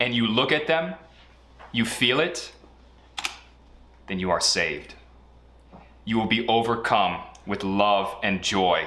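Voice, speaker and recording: Audible room echo frames a man's medium-pitched voice, bright and sharp in tone, at a fairly slow pace with long, frequent pauses. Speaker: online group presenter. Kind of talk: mock sermon.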